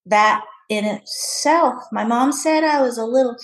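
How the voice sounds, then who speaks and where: This woman's voice is somewhat breathy. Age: 60s. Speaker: masters CrossFit athlete. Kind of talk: casual interview.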